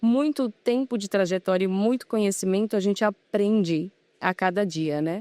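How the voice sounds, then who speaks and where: A woman with a Pará accent speaks at a moderate pace in a dark, mellow tone with ordinary pitch variation, recorded dry and close with no echo in a very clean recording with a silent background. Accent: Pará (northern Brazilian) accent, noticeable. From Brazil, Belém do Pará. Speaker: furniture company business manager. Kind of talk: interview. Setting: trade fair.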